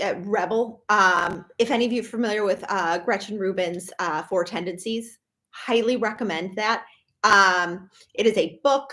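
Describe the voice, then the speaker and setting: A woman of medium pitch with a Minnesotan accent. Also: ordinary pitch variation, moderate pace. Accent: Minnesota. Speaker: professional organizer. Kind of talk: live stream talk. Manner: casual, many fillers.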